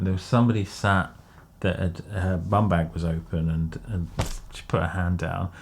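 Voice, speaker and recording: With an English accent, a man talks at a fairly quick pace. His pitch variation is ordinary. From England. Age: 30s. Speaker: podcast co-host. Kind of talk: casual chat.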